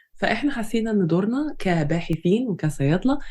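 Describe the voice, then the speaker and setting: A woman's medium-pitched, somewhat breathy voice, dark and mellow in tone, with very wide pitch swings at a moderate pace. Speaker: pharmacy lecturer and podcast co-host. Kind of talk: scripted introduction.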